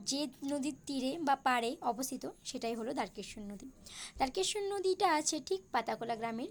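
With lively intonation, a woman speaks in a high voice. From Bankura district, West Bengal, India. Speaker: YouTube vlogger. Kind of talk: vlog narration. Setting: outdoors by a flooded river and bridge.

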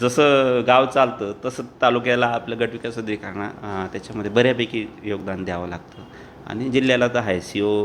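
In a plain, everyday voice, a man speaks at a medium pitch with fairly even intonation. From Dhule district, Maharashtra (Khandesh). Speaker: district government official. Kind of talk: interview.

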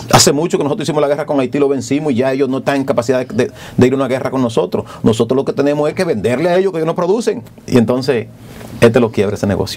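A man's fairly high voice at a very fast pace, with lively intonation and light background noise. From Dominican Republic, rural. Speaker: politician, congressman; politician. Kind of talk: TV interview. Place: studio. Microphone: lapel.

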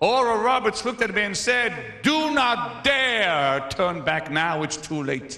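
The voice is raised and projected, with lively intonation. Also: man. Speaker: preacher. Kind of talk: sermon. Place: church. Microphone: handheld.

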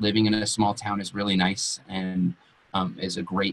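This is a man with a Western US accent. His pitch sits fairly low. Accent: General American (Western US). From Colorado, Western Slope (Grand Junction); Colorado. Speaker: entrepreneur, co-working space owner; webinar presenter. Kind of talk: webinar presentation. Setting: online webinar. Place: home room. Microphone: webcam.

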